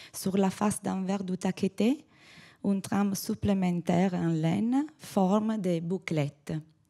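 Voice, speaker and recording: A woman with an Italian accent at a very slow pace, medium pitch, ordinary pitch variation, a dark, mellow tone and very even loudness, on a very clean recording with a silent background. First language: Italian (speaking French). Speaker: textile conservator. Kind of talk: conference talk read aloud. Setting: conference podium. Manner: halting.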